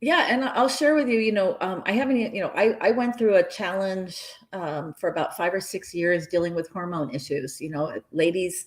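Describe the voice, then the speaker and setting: Here a woman speaks with lively intonation at a medium pitch. Her pace is moderate. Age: 60s. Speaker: health and wellness advocate. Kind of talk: interview. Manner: animated.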